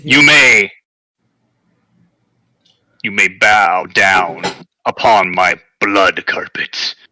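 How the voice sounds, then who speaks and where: A man puts on a raspy character voice, fairly low in pitch, with lively intonation, a very slow pace and long, frequent pauses. The sound is dry and close, with no echo. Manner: spooky, menacing, commanding.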